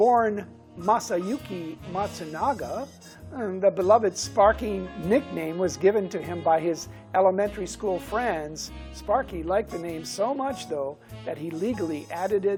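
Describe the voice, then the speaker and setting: Music can be heard in the background. The delivery is fairly slow. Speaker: talk show host. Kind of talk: TV talk show introduction.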